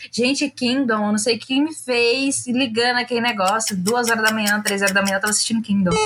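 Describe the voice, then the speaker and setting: Noticeable noise sits behind a woman who talks at a fairly high pitch. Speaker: podcast co-host. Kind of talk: casual chat. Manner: animated.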